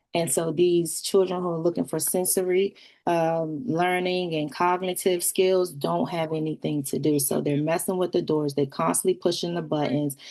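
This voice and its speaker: Speaking at a moderate pace, a woman leaves hardly any pauses. Her pitch is fairly low and her tone dark and mellow. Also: fairly even intonation. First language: sign language. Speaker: community member speaking at public meeting. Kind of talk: public comment at community meeting.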